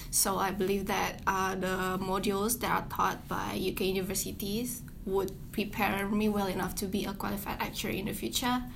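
A woman at medium pitch, moderate pace and fairly even intonation, with audible room echo. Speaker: student. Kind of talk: interview.

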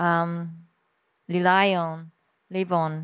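A woman with a Japanese accent is heard on a very clean recording with a silent background. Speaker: journalist and author. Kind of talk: public talk interview. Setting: stage with audience.

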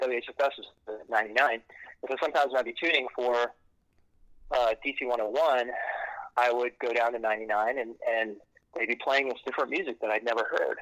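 Speaking at a moderate pace with long, frequent pauses, a man keeps a medium pitch and fairly even intonation. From Maryland, Silver Spring near DC. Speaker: musician. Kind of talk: casual chat.

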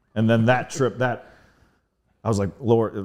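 Here a man speaks with a dark, mellow tone. He has an American accent and fairly even intonation. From US Mid-Atlantic (Northern Virginia). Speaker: DJ and artist. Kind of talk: casual chat.

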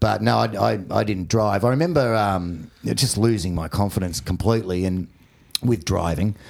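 In an Australian accent, a man with a very deep, low pitch talks at a moderate pace, his voice making very wide pitch swings. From Australia, Warrnambool, Victoria. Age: 40s. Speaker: comedian. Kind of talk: casual chat. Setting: studio.

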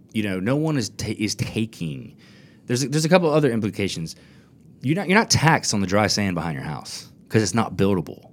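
A fairly low-pitched man with an American accent rushes along at a very fast pace, his pitch swinging very widely, with vocal fry. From US South, Florida Panhandle (Fort Walton Beach). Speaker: attorney. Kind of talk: casual interview. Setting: studio.

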